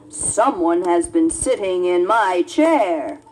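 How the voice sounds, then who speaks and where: In a put-on character voice, the speaker is raspy and very slow, with very wide pitch swings. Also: woman, fairly high pitch for a woman. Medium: read story. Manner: gruff.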